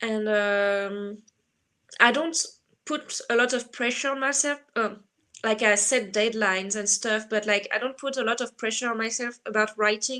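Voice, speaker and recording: At a moderate pace, the speaker talks with a French accent and fairly even intonation. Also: woman. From France. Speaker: writer. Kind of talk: casual interview. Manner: halting with many fillers.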